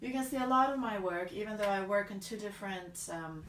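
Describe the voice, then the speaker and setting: In an American accent, a woman at a medium pitch talks with ordinary pitch variation amid noticeable background noise and audible room echo. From Bulgaria. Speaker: artist. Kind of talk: vlog introduction. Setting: art studio.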